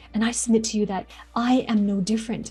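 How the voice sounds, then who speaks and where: A woman's fairly high voice sounds over background music. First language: not English. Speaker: public speaking coach. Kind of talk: motivational talk to camera.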